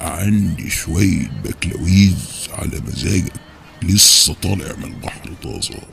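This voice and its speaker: Clear background noise behind a put-on character voice. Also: man, very deep, low pitch for a man, fairly slow pace, ordinary pitch variation. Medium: audio drama.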